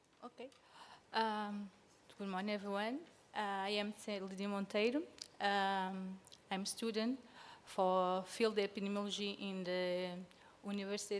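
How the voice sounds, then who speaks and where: In a Portuguese accent, a woman speaks at a medium pitch with fairly even intonation and long, frequent pauses. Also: fairly slow pace. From Sao Tome and Principe. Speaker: field epidemiology student. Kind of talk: conference presentation. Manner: halting.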